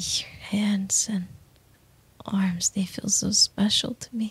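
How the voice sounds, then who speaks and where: The speech moves at a very slow pace, with a dry sound and no echo. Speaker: voice actor in roleplay audio. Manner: tender hushed obsessive whisper.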